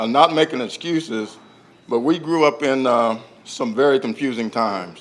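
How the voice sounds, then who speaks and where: A man speaks with an American accent. His pitch is medium and his pace is moderate. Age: 60s. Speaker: family member speaking at memorial event. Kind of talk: public speech. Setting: public library event with audience. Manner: halting.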